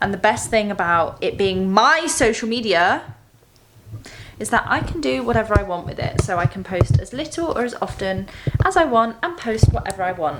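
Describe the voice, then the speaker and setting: Through noticeable background noise, a woman with a British accent speaks at a moderate pace and a fairly high pitch, her voice making very wide pitch swings. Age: 20s. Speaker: doctor. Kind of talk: casual vlog talk to camera.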